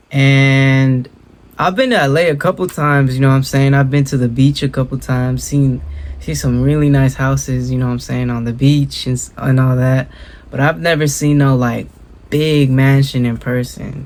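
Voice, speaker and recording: Man with an American accent at medium pitch, moderate pace and fairly even intonation. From Southern California (Inland Empire). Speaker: reaction video YouTuber. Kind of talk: casual reaction commentary. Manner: casual, filler-heavy slang.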